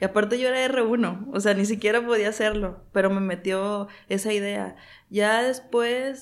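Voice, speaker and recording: A woman speaks with a fairly high pitch and fairly even intonation. Hers is a plain, everyday voice. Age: 30s. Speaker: physician, gerontologist. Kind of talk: interview.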